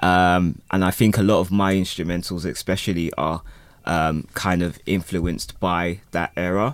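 On a very clean recording with a silent background, a man with a very deep, low pitch talks at a moderate pace, his intonation fairly even and his loudness very even. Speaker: beat maker and music producer. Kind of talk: casual interview.

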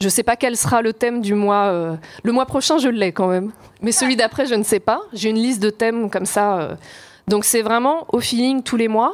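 A woman's plain, everyday voice, fairly high in pitch, at a moderate pace with ordinary pitch variation and very even loudness. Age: 40s. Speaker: journalist and author. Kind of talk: live panel discussion. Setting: stage with audience.

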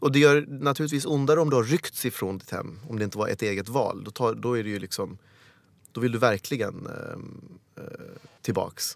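A man with a plain, everyday voice speaks at a moderate pace, medium in pitch with ordinary pitch variation. His loudness swings widely on a very clean recording with a silent background. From Sweden, Helsingborg (born in Uganda). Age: 40s. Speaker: actor. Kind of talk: casual chat.

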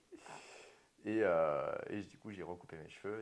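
A man with a plain, everyday voice, at a moderate pace with ordinary pitch variation. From Martinique. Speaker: hairdresser and business owner. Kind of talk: interview.

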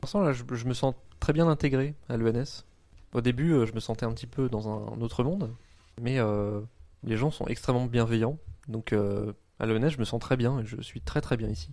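A man's medium-pitched voice with a dark, mellow tone, ordinary pitch variation, a moderate pace and long, frequent pauses, on a very clean recording with a silent background. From northern France (Oise, near Compiègne). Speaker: university student. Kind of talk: interview. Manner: halting.

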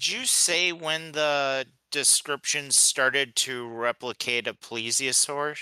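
A man's very slow, fairly high voice with a bright, sharp tone, fairly even intonation, and a dry, close sound with no echo. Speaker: podcast co-host. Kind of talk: casual chat.

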